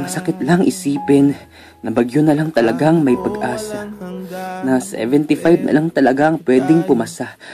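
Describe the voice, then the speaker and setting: Music plays behind a man with a fairly high voice. His intonation is lively and his pace moderate. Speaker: spoken word poet. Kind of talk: spoken word poetry performance.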